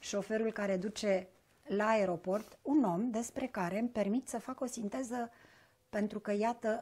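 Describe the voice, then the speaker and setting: A woman talks at a moderate pace. Her tone is dark and mellow, and somewhat breathy. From southern Romania (Bucharest). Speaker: interviewer. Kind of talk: interview conversation. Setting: shop. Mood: warm, measured, thoughtful. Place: home room. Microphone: lapel.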